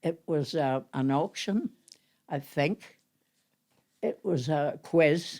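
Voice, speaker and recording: A woman with a Northern Irish accent, a fairly low pitch and very wide pitch swings. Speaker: amateur actress. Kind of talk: reminiscing interview. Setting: at home.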